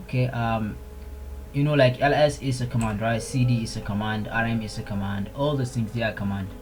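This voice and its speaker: A man's medium-pitched voice at a fairly quick pace with fairly even intonation, plus audible room echo and music in the background. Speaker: Linux tutorial maker. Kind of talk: screen-recorded tutorial.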